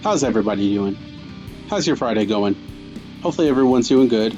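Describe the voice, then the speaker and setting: Music in the background behind a man with an upbeat tone, lively intonation and a fairly quick pace. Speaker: podcast host. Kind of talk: podcast intro.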